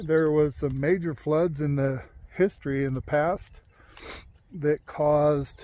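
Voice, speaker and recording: A man talks with fairly even intonation in a dry sound with no echo. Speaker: hobby drone vlogger. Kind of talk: casual vlog chat. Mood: relaxed, hopeful. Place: open country. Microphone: phone near.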